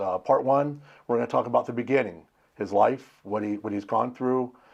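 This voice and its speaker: A man with an American accent at a very fast pace, medium pitch and ordinary pitch variation, over a quiet background. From Pennsylvania, after early childhood near Los Angeles. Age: 60s. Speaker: interviewer. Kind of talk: interview.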